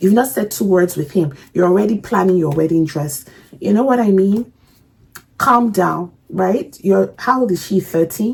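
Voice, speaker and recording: Somewhat breathy and animated, a woman speaks at a moderate pace. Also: medium pitch for a woman. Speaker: reaction video creator. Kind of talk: casual reaction commentary. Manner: halting.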